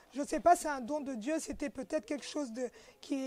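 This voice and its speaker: Dark and mellow in tone, the voice shows ordinary pitch variation. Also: woman. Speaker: journalist. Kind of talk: interview.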